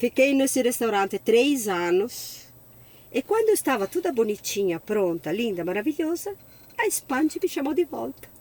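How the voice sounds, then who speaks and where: A high-pitched woman speaks at a moderate pace with very wide pitch swings, in a dry, close sound with no echo. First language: Italian (speaking Portuguese). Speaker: sommelier. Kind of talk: interview.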